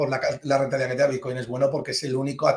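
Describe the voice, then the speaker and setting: A man speaks with a fairly high pitch and a somewhat breathy sound. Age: 40s. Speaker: finance professor and private banker. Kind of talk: interview.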